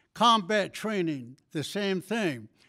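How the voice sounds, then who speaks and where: Very slowly, a man talks in a high pitch with ordinary pitch variation, on a very clean recording with a silent background. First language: Navajo. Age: 80s+. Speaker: war veteran. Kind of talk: ceremonial speech.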